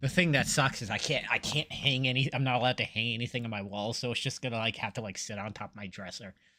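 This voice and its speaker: Over a very clean recording with a silent background, a man speaks very fast with hardly any pauses, his medium-pitched voice bright and sharp in tone with ordinary pitch variation. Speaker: gamer streaming with friends. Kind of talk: casual chat.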